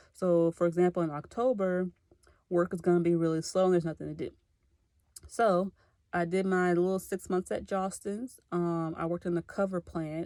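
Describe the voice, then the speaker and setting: In an American accent, a woman speaks at a moderate pace with a dark, mellow tone, fairly low pitch and fairly even intonation. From Clarksville, Tennessee (US South). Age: 20s. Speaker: graduate student. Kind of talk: self-introduction video. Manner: casual, conversational.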